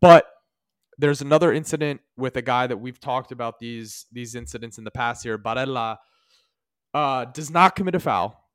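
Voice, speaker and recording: A man with a plain, everyday voice speaks at a moderate pace and medium pitch, with ordinary pitch variation and big swings in loudness. The sound is dry and close with no echo, a very clean recording over a silent background. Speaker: podcast host. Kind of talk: casual sports podcast chat. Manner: casual, conversational.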